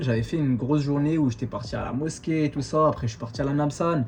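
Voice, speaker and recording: Medium in pitch with ordinary pitch variation, a man talks in a normal speaking voice. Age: 20s. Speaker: vlogger, exchange student. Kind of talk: casual talk to camera.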